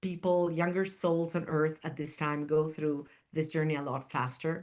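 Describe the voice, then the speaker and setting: Her pitch very deep and low, a woman keeps her intonation fairly even. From Argentina. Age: 60s. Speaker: spiritual teacher and podcast host. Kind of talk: spiritual monologue podcast. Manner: halting, with repetitions and fillers.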